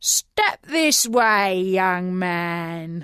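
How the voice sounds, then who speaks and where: Using a put-on character voice, a woman growls. Her pitch stays medium. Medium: read story. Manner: gruff, curt.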